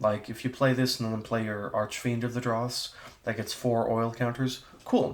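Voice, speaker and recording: A man talks at a moderate pace in an unremarkable speaking voice. His pitch is medium. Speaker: card game content creator. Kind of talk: casual product review.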